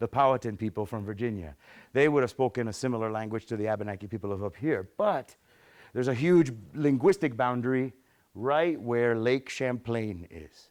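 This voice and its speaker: A man's medium-pitched voice with a Spanish accent, in a very clean recording with a silent background. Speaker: museum science educator giving a talk. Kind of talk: public lecture. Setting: hall with live audience. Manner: conversational, with fillers and repetitions.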